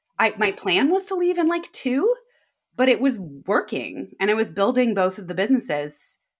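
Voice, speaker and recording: This is a very clean recording with a silent background. A woman with a fairly high pitch speaks at a moderate pace, using very wide pitch swings and vocal fry. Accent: American. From Davis, near Sacramento, California. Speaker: wedding planner and coach. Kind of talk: interview conversation.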